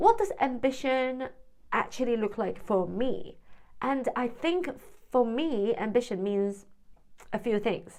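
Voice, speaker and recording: A woman speaks at a high pitch with lively intonation, leaving long, frequent pauses. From Hong Kong, then UK from 17. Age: 40s. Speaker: vlogger, former freelance translator. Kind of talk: personal vlog monologue. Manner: hesitant, with repeated words.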